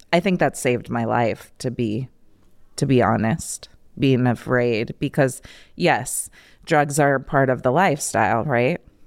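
A woman with an American accent, very deep and low in pitch, with ordinary pitch variation, in a very clean recording with a silent background. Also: fairly slow pace. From Iowa, rural US Midwest. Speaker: trafficking survivor and advocate. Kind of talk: testimony.

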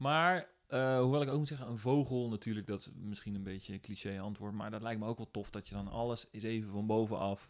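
A plain, everyday voice from a man at medium pitch, fairly quick with hardly any pauses and ordinary pitch variation, on a very clean recording with a silent background. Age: 30s. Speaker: composer and former radio DJ. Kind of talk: casual interview chat.

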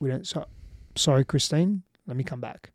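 A man with an Australian accent and a dark, mellow tone speaks at a moderate pace with ordinary pitch variation, in dry, close sound with no echo, on a very clean recording with a silent background. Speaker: relationships coach. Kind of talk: podcast interview. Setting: in person in Austin, Texas.

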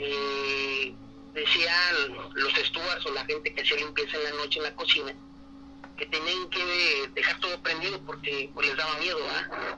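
At a fairly slow pace, a man speaks through noticeable background noise. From Mexico, Matamoros. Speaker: caller. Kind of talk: personal story. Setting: phone call.

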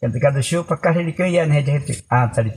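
Lively intonation marks this man's somewhat breathy voice. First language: Baniwa (speaking Portuguese). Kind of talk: storytelling. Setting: around a fire in a longhouse at night.

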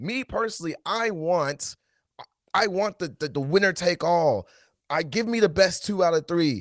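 A man speaks with lively intonation and a high pitch. The sound is dry and close, with no echo. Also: moderate pace, very clean recording, silent background. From Nashville, Tennessee. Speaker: soccer podcast co-host. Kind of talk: casual chat.

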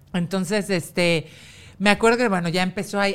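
Speaking very fast, a woman with a Mexican accent holds a medium pitch. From Mexico. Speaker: TV presenter and model. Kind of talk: casual chat.

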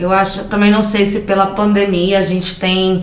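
A woman speaks at a fairly slow pace in a medium pitch, her intonation monotone and flat. Noticeable background noise and audible room echo fill the recording. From interior of São Paulo state, Brazil. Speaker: podcast co-host, immigrant, children's educator. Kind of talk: casual chat. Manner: loud; talkative.

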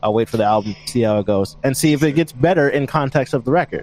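A man with a normal speaking voice talks at a fairly quick pace, his pitch medium and its variation ordinary. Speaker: band vocalist and guitarist. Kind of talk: casual interview chat.

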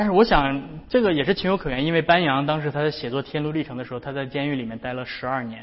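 A man talking at a very fast pace. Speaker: pastor. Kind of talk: sermon.

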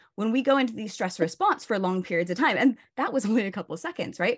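A woman with a West Coast US accent speaks at a fairly high pitch, her pitch swinging very widely. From Oregon, US, with childhood years in Barcelona. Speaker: burnout coach and yoga teacher. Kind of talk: casual interview chat.

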